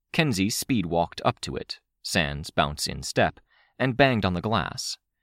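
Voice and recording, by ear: The background is quiet. Someone is reading aloud in a natural voice.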